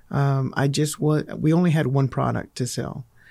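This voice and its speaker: This man speaks with a Texan accent, his pitch fairly high and his tone dark and mellow. He goes at a fairly slow pace on a very clean recording with a silent background. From Texas, Fort Worth. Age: 40s. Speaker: insurance agent. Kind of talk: casual chat.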